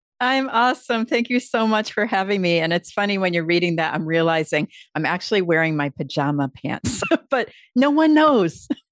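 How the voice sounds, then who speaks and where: Her pitch is medium and swings very widely. She is a woman with an American accent. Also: moderate pace. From Upstate New York. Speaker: public speaking coach. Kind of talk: interview. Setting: video call.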